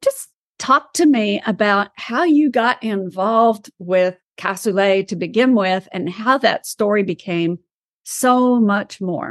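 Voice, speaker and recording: A woman speaks very slowly with an East Texas accent, her pitch medium and its variation ordinary. The sound is dry and close with no echo, over a quiet background. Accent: East Texas Southern US. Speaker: podcast host. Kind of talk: interview. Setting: video call.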